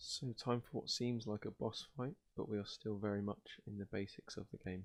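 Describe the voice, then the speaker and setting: A soft-spoken man with a British accent talks at a moderate pace and medium pitch. His intonation is fairly even, and the sound is dry and close with no echo. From Britain. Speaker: ASMR gaming video host. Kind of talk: casual gameplay commentary and rambling.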